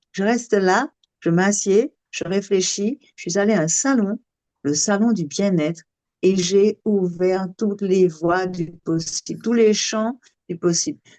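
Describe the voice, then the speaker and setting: In a dry, close sound with no echo, a woman speaks very slowly with a dark, mellow tone, medium pitch and ordinary pitch variation. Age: 60s. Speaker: sophrologist. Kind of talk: casual chat. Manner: animated.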